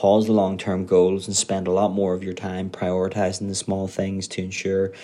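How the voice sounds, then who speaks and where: A man with a Northern Irish accent speaks at a moderate pace in a very deep, low voice. His tone is dark and mellow, his intonation monotone and flat. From Northern Ireland. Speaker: Amazon seller manager. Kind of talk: scripted tip recording.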